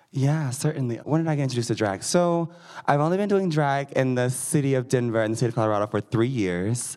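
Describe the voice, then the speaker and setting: With an American accent, the speaker talks at a very fast pace with lively intonation. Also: man, medium pitch for a man. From Missouri. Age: 20s. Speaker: drag performer. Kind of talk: live panel discussion. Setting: stage with audience.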